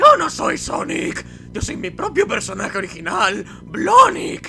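There is clear background noise. A man performs a put-on character voice. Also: fairly slow pace. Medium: dub. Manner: indignant, exclaiming.

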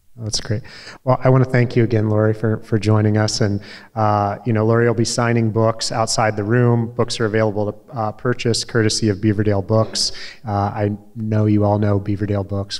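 In a quiet background, a man speaks at a moderate pace and fairly low pitch. His intonation is monotone and flat. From US Midwest. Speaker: event moderator, former newspaper publisher. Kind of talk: moderated interview. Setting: stage with audience. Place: hall. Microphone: handheld.

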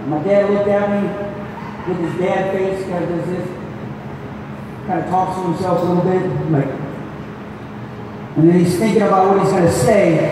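A man speaks in a high pitch with monotone, flat intonation and long, frequent pauses. Strong room echo and noticeable background noise fill the recording. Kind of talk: ceremony speech. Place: hall.

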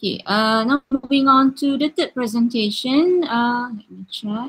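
A woman speaks at a high pitch. Her pace is fairly slow. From Malaysia. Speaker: session chair. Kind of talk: conference moderation. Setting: video call. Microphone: sounds far away; webcam.

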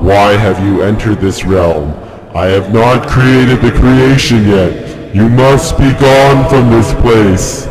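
A man puts on a character voice at a medium pitch and a fairly slow pace. Background noise is clearly audible. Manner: scary, booming, commanding.

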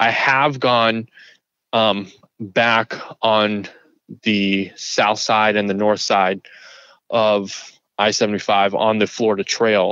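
Very slowly and with long, frequent pauses, a man speaks in a fairly low, bright and sharp voice with monotone, flat intonation. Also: very even loudness. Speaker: hiker who had a Bigfoot encounter. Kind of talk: interview answer, telling his story.

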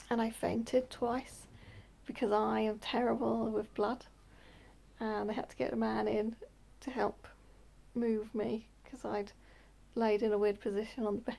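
A woman at a moderate pace, with long, frequent pauses. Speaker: vlogger. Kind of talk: casual vlog chat telling a story. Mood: relaxed, chatty. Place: home room. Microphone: phone near.

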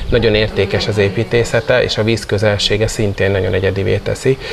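Light background noise sits behind a man who speaks at a very fast pace. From Hungary. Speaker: national competition organizer. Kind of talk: interview. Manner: hesitant with fillers. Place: garden. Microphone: lapel.

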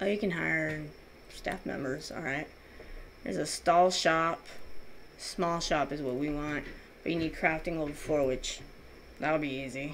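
A woman with a very deep, low pitch and vocal fry speaks at a fairly slow pace. Her pitch variation is ordinary, and she leaves long, frequent pauses. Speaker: gaming YouTuber. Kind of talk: casual gameplay commentary. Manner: animated, chatty.

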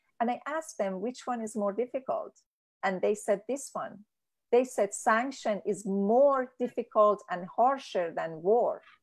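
Fairly high-pitched, a woman in a Persian accent at a fairly slow pace, with ordinary pitch variation and a quiet background. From Iran. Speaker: peace activist. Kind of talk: interview. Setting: video call.

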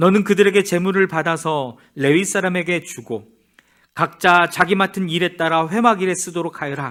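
A man speaks at a high pitch and a moderate pace with fairly even intonation and a bright, sharp tone. The recording is very clean, with a silent background. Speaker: church Bible reader. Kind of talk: reading aloud. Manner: steady measured reading.

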